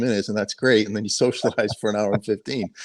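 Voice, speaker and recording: Very fast and with a slight Boston accent, a man's speech comes across dry and close with no echo. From Boston suburbs, Massachusetts. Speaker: sheriff's helicopter pilot. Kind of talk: podcast interview.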